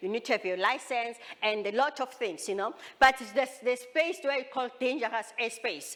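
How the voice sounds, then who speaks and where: Noticeable background noise sits behind a high-pitched woman speaking with ordinary pitch variation. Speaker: drone company founder and presenter. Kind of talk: expo presentation. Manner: fast; halting, repeats words.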